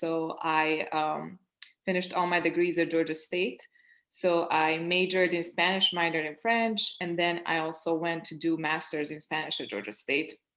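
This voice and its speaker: Against a quiet background, a woman with a Serbian accent speaks at a fairly low pitch and a moderate pace, with ordinary pitch variation. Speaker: project manager, panelist. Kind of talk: panel discussion.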